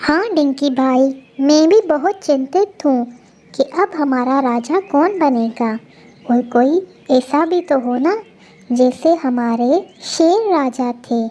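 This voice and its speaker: In a cartoonish character voice, a female-sounding speaker talks at a fairly slow pace with a high pitch. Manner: sincere, earnest.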